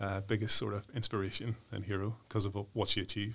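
A man's fairly low voice in a Northern Irish accent at a moderate pace. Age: 40s. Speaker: human rights commission worker, former football development director. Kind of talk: interview. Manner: hesitant, many fillers.

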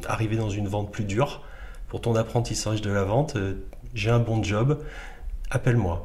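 Medium pitch from a man, delivered at a moderate pace amid audible room echo. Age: 40s. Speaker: entrepreneur, company founder. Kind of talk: interview. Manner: halting.

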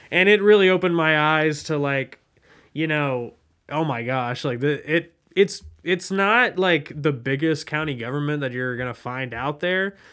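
A man speaks at a moderate pace in a plain, everyday voice. His pitch is fairly high, with ordinary pitch variation. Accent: American. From Southwest Ohio (West Chester). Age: 20s. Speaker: podcast host, journalist. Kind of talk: interview.

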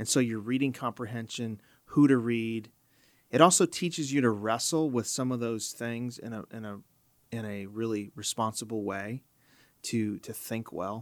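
A man with an American accent speaks at a moderate pace and medium pitch in an ordinary speaking voice, his loudness swinging widely on a very clean recording with a silent background. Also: ordinary pitch variation. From US Midwest, Chicago. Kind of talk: podcast interview. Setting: studio.

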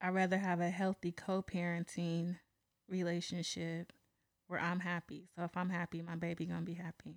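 Fairly low-pitched woman in a flat monotone, dry and close with no echo, on a very clean recording with a silent background. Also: moderate pace. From San Pablo, California (Bay Area). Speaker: podcast guest. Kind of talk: casual chat.

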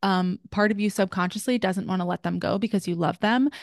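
A woman with an animated tone speaks at a medium pitch, her voice dry and close with no echo against a quiet background. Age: 20s. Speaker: wellness podcast host. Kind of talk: solo podcast monologue.

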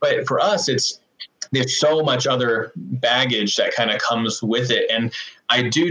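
A man with an American accent speaks at a moderate pace in a plain, everyday voice and a medium pitch. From US, Oregon. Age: 30s. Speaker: city councilor. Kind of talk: casual interview chat.

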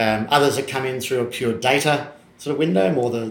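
Fairly quickly and with fairly even intonation, a man talks at a medium pitch in an Australian accent. Noticeable background noise is audible. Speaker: podcast host. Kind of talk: interview conversation.

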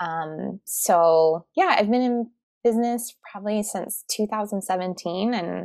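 A plain, everyday voice from a woman with a General American accent, fairly slow in pace with ordinary pitch variation, the sound dry and close with no echo. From Arizona (Tucson). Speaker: podcast and video consultant, former teacher. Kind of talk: interview.

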